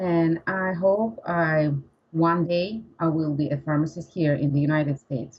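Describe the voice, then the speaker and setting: In a Russian accent, a woman with a fairly low, somewhat breathy voice talks fairly slowly, with ordinary pitch variation and very even loudness. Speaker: English learner, pharmacist. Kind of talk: interview. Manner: halting.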